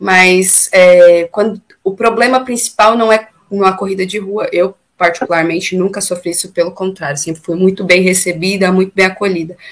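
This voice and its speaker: Fairly even intonation and a moderate pace from a woman at a medium pitch. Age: 30s. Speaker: singer and amateur runner. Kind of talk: casual interview. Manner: talkative.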